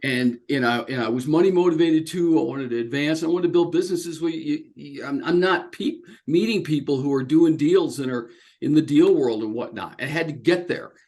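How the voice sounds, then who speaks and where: In an American accent, a man with a fairly high pitch and ordinary pitch variation talks at a fairly quick pace. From Oklahoma, US. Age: 60s. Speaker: business executive. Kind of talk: interview. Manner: halting, many fillers and restarts.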